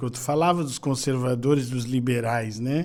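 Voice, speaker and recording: There is audible room echo around this voice. A man speaks at a medium pitch. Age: 60s. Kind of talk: podcast interview.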